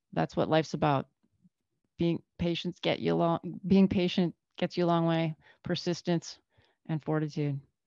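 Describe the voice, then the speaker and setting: Against a quiet background, a woman with a fairly low pitch and dark, mellow tone speaks at a moderate pace in a flat monotone, her loudness very even, the sound dry and close with no echo, and her pauses long and frequent. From Northern Canada. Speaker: physician. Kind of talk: casual interview chat.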